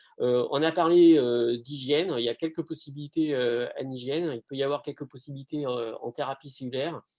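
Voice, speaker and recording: A man with a southern French accent talks at a fairly quick pace with hardly any pauses. His pitch is fairly high and his intonation fairly even. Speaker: pharmacy lecturer. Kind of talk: online Q&A. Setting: video call. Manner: hesitant, many fillers.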